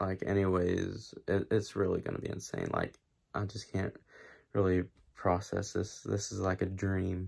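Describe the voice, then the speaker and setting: Against a quiet background, a man speaks at a fairly slow pace with a very deep, low pitch. His voice is somewhat breathy, with monotone, flat intonation. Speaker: YouTuber. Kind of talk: vlog. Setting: at home late at night. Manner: hushed, keeping voice down; hesitant, many fillers. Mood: disappointed, stunned. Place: home room. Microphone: phone near.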